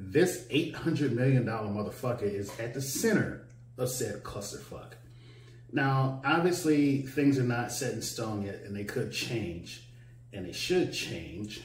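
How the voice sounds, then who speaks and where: A man speaks very slowly with ordinary pitch variation. Audible echo fills the room. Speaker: vlogger. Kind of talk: casual vlog commentary. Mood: irritated, mocking rant. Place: home room.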